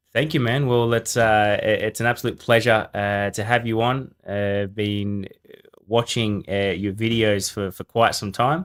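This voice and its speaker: With an ordinary speaking voice, a man talks at a fairly slow pace and a medium pitch, keeping his intonation fairly even. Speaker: podcast host. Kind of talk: podcast interview questions.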